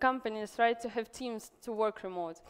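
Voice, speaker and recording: A woman with a Russian accent and ordinary pitch variation, on a very clean recording with a silent background. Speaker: event organizer and entrepreneur. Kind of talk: conference talk. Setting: stage with audience. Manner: halting.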